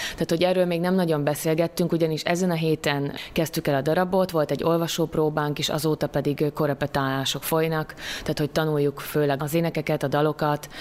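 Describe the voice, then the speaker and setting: A woman's very deep, low voice at a very fast pace, monotone and flat, with very even loudness and noticeable background noise. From southern Slovakia (Hungarian minority, Szőgyén). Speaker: stage actress. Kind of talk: interview. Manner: hesitant, many fillers.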